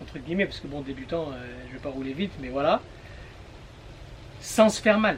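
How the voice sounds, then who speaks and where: The intonation is lively. Noticeable background noise sits under the voice. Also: man. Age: 30s. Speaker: vlogger. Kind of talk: vlog monologue. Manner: hesitant with many fillers; casual.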